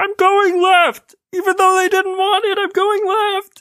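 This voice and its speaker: A put-on character voice at an extremely high pitch, monotone and flat in intonation, at a fairly slow pace. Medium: actual play. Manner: frantic, repetitive.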